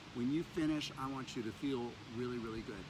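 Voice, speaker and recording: An audible room echo surrounds a man of medium pitch who speaks at a very fast pace, somewhat breathy, with fairly even intonation. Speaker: yoga teacher. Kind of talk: yoga class instruction. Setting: outdoors in mountains. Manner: clear enunciation; calm, soothing.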